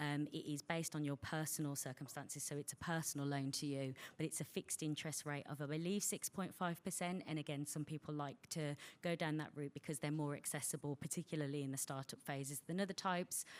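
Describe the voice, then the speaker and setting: A woman with a Birmingham accent and a very deep, low pitch speaks at a very fast pace, with fairly even intonation and very even loudness. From England, Birmingham (West Midlands). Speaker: bank representative giving a funding talk. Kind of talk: presentation to an audience. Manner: frequent fillers (um).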